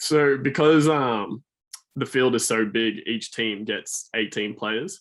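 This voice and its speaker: The speaker has an Australian accent and ordinary pitch variation. The pace is very slow. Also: man, medium pitch for a man. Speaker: student athlete. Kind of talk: podcast interview.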